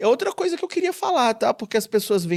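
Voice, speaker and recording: Animated and lively in intonation, a man talks. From Espírito Santo, Brazil. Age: 30s. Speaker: TV journalist. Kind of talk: podcast interview.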